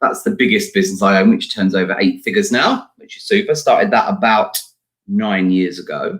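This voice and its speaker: The speaker has an English accent and a fairly quick pace. Loudness rises and falls in big swings. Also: man. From UK. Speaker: entrepreneur and talent agent. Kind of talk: interview. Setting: live stream.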